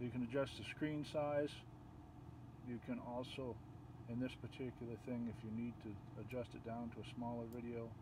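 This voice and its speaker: A soft-spoken, mumbling man at a medium pitch, monotone and flat, at a moderate pace with long, frequent pauses amid noticeable background noise. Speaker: video tutorial creator. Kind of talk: tutorial.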